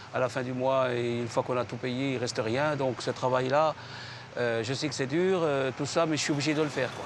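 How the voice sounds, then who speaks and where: A man at medium pitch with fairly even intonation and a fairly quick pace, amid noticeable background noise. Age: 60s. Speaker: retired leaflet distributor. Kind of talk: documentary interview.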